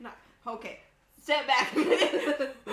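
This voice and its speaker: Over noticeable background noise and audible room echo, a woman talks at a fairly slow pace with a high pitch. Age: 30s. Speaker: cooking livestream host. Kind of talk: casual chat. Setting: home studio kitchen. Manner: animated.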